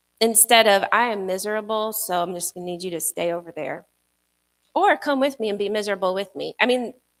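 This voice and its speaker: On a very clean recording with a silent background, a soft-spoken woman at medium pitch speaks at a fairly quick pace with ordinary pitch variation. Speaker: pastor. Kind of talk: sermon.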